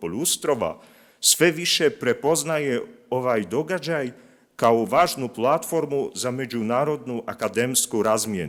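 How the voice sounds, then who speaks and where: On a very clean recording with a silent background, a man with a Polish accent speaks at a fairly slow pace and medium pitch, his intonation lively. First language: Polish (speaking Croatian). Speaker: linguist, institute representative. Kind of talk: conference presentation. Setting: conference with audience. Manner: reading prepared text; halting, with many fillers.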